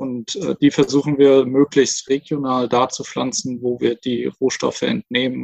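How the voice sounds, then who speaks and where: A man uses a normal speaking voice at medium pitch, keeping his intonation fairly even. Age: 20s. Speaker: startup co-founder. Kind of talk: interview.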